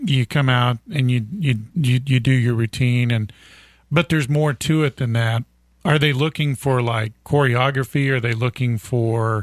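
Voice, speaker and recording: An unremarkable speaking voice from a man at medium pitch, with ordinary pitch variation and very even loudness, in a very clean recording with a silent background. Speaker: radio co-host. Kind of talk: casual chat. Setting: studio.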